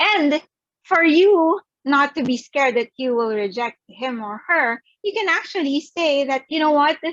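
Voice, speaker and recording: A high-pitched woman speaks at a fairly slow pace with lively intonation, the sound dry and close with no echo. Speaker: psychologist and sex therapist. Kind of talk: virtual talk presentation. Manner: loud; animated.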